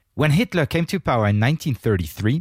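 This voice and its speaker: In a very clean recording with a silent background and a dry, close sound with no echo, a man speaks at a medium pitch, somewhat breathy, his voice swinging very widely in pitch. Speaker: podcast host and reporter. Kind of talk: podcast hosting, conversational interview. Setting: studio. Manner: talkative, friendly.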